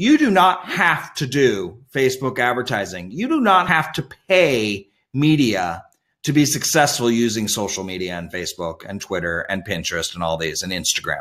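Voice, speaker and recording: With an American accent, a man speaks in a medium pitch at a moderate pace, his voice moving through very wide pitch swings. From Indiana, US Midwest. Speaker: webinar presenter, social media trainer. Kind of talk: webinar tutorial. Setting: video call webinar with screen share. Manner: animated.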